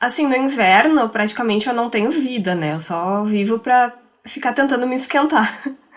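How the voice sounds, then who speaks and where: A woman's high voice moves at a moderate speed, her intonation lively. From Rio Grande do Sul, Brazil. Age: 30s. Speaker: podcaster. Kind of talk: casual chat.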